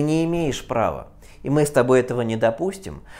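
A man speaks in a plain, everyday voice at a fairly quick pace. His pitch is fairly high. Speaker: physics teacher. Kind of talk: lecture. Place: classroom. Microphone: lapel.

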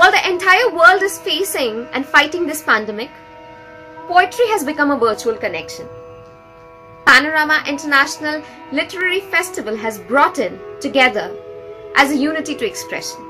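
A woman with a high pitch uses a raised, projected voice and very wide pitch swings at a fairly quick pace, leaving long, frequent pauses. Clear music plays in the background. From India, West Bengal. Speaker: writer, poet and narrator. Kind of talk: festival introduction to camera. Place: home room. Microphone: phone near.

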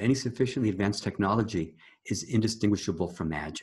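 A man talks at a very fast pace, his fairly low voice somewhat breathy. The background is quiet. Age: 70s. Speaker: energy healing teacher. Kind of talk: interview. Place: home room. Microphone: webcam.

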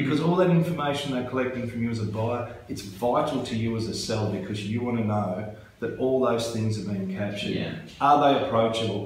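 With an Australian accent and lively intonation, the speaker moves at a fairly quick pace amid light background noise and audible room echo. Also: man. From Tasmania, Australia. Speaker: real estate agent. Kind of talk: interview. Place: office.

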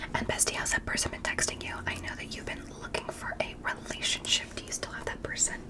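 Amid loud background noise, a soft-spoken woman whispers at a very fast pace with hardly any pauses. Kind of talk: ASMR roleplay chat. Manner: soft intimate ASMR whisper. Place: home room.

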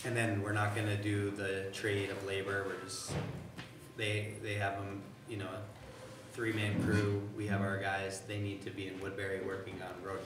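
Background music is playing. A man talks amid audible room echo. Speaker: town manager giving report. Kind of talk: meeting report. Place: meeting room. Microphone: camera far.

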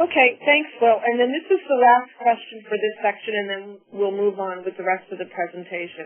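A woman with an unremarkable speaking voice talks at a fairly quick pace. Her pitch is fairly high and her intonation lively. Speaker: webinar moderator. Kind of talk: formal webinar moderation. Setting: webinar audio broadcast.

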